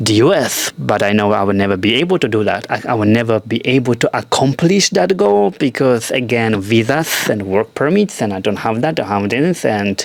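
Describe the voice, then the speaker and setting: Hardly pausing, a man with a medium pitch speaks with lively intonation over noticeable background noise. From Europe. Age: 40s. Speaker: actor. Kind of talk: casual talk to camera. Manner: stream of consciousness, candid.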